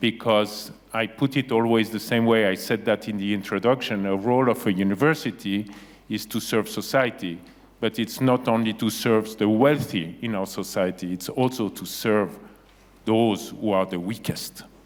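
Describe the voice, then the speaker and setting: Here is a man with a Geneva accent. His pitch is fairly low. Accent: Geneva (Swiss French). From Geneva, Switzerland. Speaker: university president. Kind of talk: panel interview.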